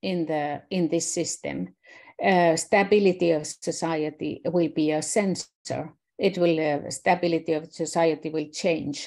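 Her tone is dark and mellow, with a fairly low pitch. The woman speaks at a fairly slow pace. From Finland. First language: Finnish. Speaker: systems scientist; presenter. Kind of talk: online presentation. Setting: video call. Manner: halting. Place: home room. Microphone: webcam.

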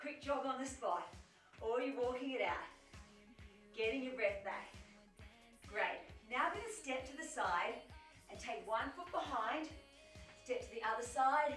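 A woman's high-pitched voice at a moderate pace, with faint music in the background and audible room echo. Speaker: fitness instructor. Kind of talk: workout instruction. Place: home room.

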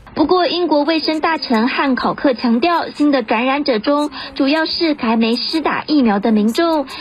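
This woman's high-pitched voice moves at a moderate pace with hardly any pauses, very even loudness and ordinary pitch variation, over noticeable background noise. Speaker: news reporter. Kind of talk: news voiceover.

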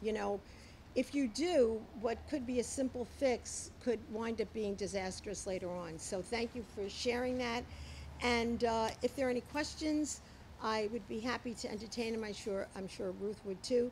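Speaking with an American accent, a woman's somewhat breathy voice moves at a moderate pace with ordinary pitch variation over light background noise. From Long Island, New York. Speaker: town supervisor. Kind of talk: press briefing. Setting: outdoors. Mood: warm, appreciative. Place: hall. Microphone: podium.

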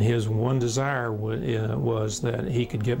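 Medium in pitch with ordinary pitch variation, a man talks over noticeable background noise. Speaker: transplant surgeon. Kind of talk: interview answer.

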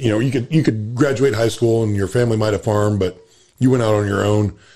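Talking at a fairly quick pace, a man uses an ordinary speaking voice with fairly low pitch and ordinary pitch variation. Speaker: farmer and podcast co-host. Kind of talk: casual chat.

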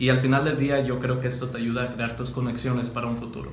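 With light background noise and audible room echo, a man talks in a monotone, flat intonation. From Mexico, Cotija, Michoacán; Michoacán, Mexico. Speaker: university student; interviewee. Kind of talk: interview. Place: meeting room.

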